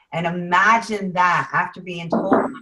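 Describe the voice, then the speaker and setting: A woman speaks in a normal speaking voice, fairly low in pitch and at a fairly slow pace. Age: 50s. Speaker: juice supplement distributor, former teacher. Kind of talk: testimony. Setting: video call.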